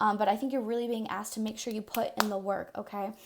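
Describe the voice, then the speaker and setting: This woman speaks extremely quickly. Nothing is audible behind her, and the recording is very clean. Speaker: tarot reader. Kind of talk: casual tarot reading to camera. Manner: fast; casual, many fillers.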